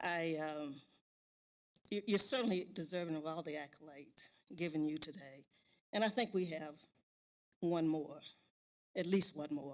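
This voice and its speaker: A woman's very deep, low pitch, with ordinary pitch variation and a moderate pace. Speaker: board president. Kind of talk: formal speech. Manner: halting.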